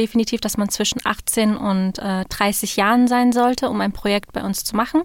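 A woman's plain, everyday voice, fairly high in pitch, with ordinary pitch variation and a moderate pace. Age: 20s. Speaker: student society officer. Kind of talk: interview. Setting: studio.

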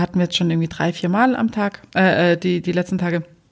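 A woman with a normal speaking voice, medium in pitch, at a fairly quick pace. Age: 40s. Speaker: podcast host. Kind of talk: casual chat.

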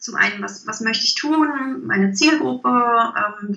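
A fairly high-pitched woman at a fairly slow pace, with noticeable background noise and audible room echo. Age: 30s. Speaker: leadership coach. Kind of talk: interview. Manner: hesitant, many fillers.

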